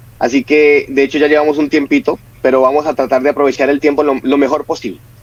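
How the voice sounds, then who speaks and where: With a Colombian accent, a man speaks at a moderate pace in a fairly high pitch. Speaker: family counselor and speaker. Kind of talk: religious talk. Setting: online broadcast.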